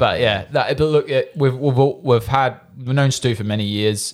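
The voice belongs to a man. He speaks with an Australian accent. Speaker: goalkeeper podcast co-host. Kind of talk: casual chat.

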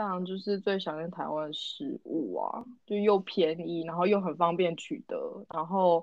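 A woman's normal speaking voice, medium in pitch, at a fairly slow pace with hardly any pauses and ordinary pitch variation. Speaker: podcast co-host. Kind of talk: casual chat.

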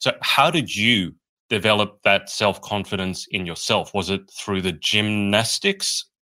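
A man with an Australian accent has a fairly low pitch, a bright, sharp tone and fairly even intonation. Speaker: podcast host. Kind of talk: interview. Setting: video call. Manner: jokey, laughs often.

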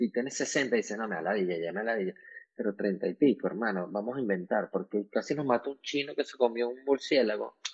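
This is a man with a normal speaking voice at a medium pitch. He talks at a fairly quick pace with ordinary pitch variation. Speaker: beauty salon entrepreneur. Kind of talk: casual chat. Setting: at home.

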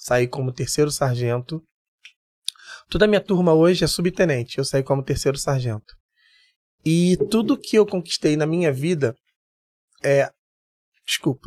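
Recorded with a dry, close sound and no echo, a man with a fairly high pitch speaks at a moderate pace, using lively intonation and long, frequent pauses. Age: 50s. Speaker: security chief and military firefighter. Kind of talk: casual interview chat.

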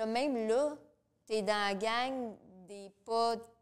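Fairly even intonation in a Quebec accent. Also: woman. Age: 30s. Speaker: domestic violence counselor and radio co-host. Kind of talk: casual interview. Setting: studio with live audience.

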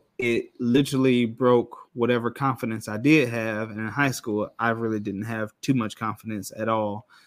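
With an American accent, a man speaks at a medium pitch in a monotone, flat intonation. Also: moderate pace, hardly any pauses. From Rockford, Illinois (US Midwest). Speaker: podcast guest. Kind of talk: casual chat.

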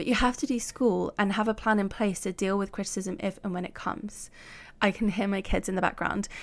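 A woman's medium-pitched voice at a fairly quick pace, with fairly even intonation, on a very clean recording with a silent background. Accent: British. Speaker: podcast host and life coach. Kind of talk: solo podcast monologue.

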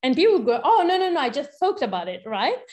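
A woman speaks with an Italian accent. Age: 30s. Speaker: researcher and activist. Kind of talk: interview.

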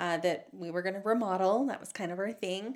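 A woman speaks at a medium pitch with ordinary pitch variation. It is an unremarkable speaking voice. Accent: American. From Utah, Salt Lake Valley. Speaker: former TV news reporter and anchor. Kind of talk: casual interview conversation.

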